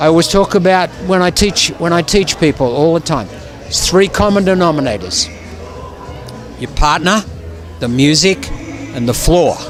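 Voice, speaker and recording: With music in the background, a man with an Australian accent speaks at a high pitch and a moderate pace, with ordinary pitch variation and long, frequent pauses. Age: 70s. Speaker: ballroom dance judge and teacher. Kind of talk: casual interview. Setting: event venue. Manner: halting, repetitive.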